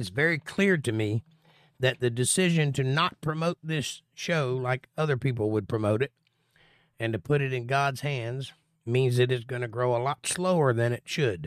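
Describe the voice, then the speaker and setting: An unremarkable speaking voice moves at a moderate pace with ordinary pitch variation, recorded very cleanly against a silent background with a dry, close sound and no echo. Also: man, medium pitch for a man. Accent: American. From Florida. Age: 40s. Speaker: bible teacher. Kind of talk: livestream bible study with chat Q&A. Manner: casual.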